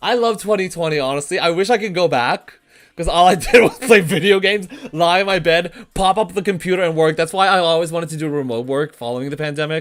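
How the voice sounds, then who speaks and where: Very fast, animated speech on a very clean recording with a silent background. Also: man, high pitch for a man, ordinary pitch variation. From grew up in Armenian community. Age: 20s. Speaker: streamer, former teacher. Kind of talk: casual livestream commentary. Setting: home room on webcam stream.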